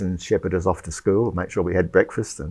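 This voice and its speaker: This man's voice is very deep and low, with ordinary pitch variation. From Sydney, Australia (born in England, emigrated at five). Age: 70s. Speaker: retired engineer, church member. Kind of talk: interview testimony. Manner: hesitant, many fillers.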